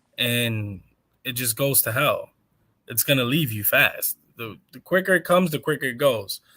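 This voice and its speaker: A man's animated voice, bright and sharp in tone, at a moderate pace. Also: medium pitch for a man, ordinary pitch variation. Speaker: pro wrestler. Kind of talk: casual chat.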